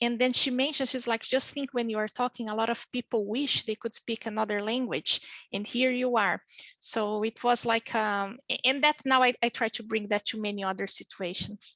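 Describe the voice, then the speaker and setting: Bright and sharp in tone, a woman speaks with a fairly high pitch at a moderate pace. The sound is dry and close with no echo, against a quiet background. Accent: Brazilian Portuguese. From Brazil, small town in the south. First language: Portuguese. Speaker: physician and pharmaceutical industry leader. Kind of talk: career panel interview. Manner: halting, with many fillers.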